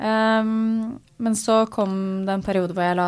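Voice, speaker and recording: On a very clean recording with a silent background, a woman with a plain, everyday voice speaks at a medium pitch with ordinary pitch variation. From Norway, Asker (near Oslo). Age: 20s. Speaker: tech startup founder. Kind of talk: interview. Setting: studio.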